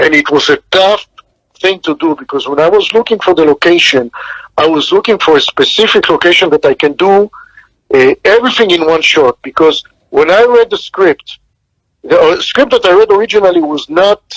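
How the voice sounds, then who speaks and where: Heard in a dry, close sound with no echo, the speaker has a non-native accent, a fairly quick pace, lively intonation, and very even loudness. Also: man, high pitch for a man. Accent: foreign. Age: 60s. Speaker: film director. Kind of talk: interview.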